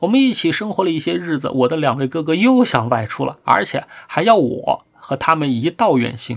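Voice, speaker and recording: An animated tone comes through at a fairly quick pace on a very clean recording with a silent background. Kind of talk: dramatic narration of a story, read aloud. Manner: animated, storyteller's tone that shifts between characters; measured, formal and ornate.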